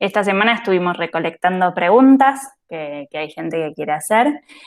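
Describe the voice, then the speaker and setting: A woman with an unremarkable speaking voice uses a fairly low pitch and lively intonation. The recording is very clean, with a silent background. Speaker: host. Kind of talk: casual talk to camera.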